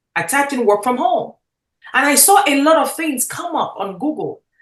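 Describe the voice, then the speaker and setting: The delivery is energetic in tone and fairly slow, with very wide pitch swings. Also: woman. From Nigeria. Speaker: network marketing mentor. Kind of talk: motivational talk.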